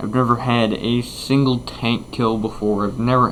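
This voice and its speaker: Noticeable background noise sits behind this recording. A man delivers his words rather unhurriedly. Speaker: gaming YouTuber. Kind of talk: gameplay commentary. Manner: casual, hesitant with fillers.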